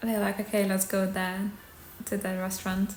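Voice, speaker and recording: A woman talks over noticeable background noise. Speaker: ASMR creator and aspiring actor. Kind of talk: ASMR storytime to camera. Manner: soft-spoken, chatty.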